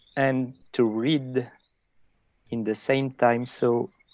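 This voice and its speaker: Spoken with a French accent at a very slow pace, the voice keeps a fairly even intonation. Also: man, long, frequent pauses. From France. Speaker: conservationist. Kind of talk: casual chat.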